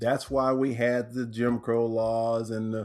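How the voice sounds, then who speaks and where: At a fairly slow pace, a man with a medium pitch and an American accent speaks in a normal speaking voice. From Texas, Corpus Christi. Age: 60s. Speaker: author and transformational teacher. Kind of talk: podcast interview.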